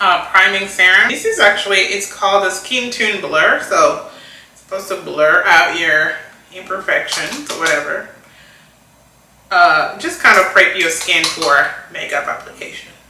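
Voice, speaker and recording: Amid noticeable background noise and audible room echo, the speech moves at a moderate pace with ordinary pitch variation and big swings in loudness. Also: woman, medium pitch for a woman. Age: 40s. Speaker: beauty vlogger. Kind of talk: casual chat while doing makeup.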